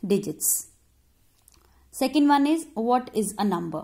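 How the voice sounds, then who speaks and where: In a quiet background, a woman speaks with an Indian accent, her voice somewhat breathy. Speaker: primary school teacher. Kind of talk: online lesson for children. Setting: recorded video lesson. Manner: slow, instructive. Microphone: phone near.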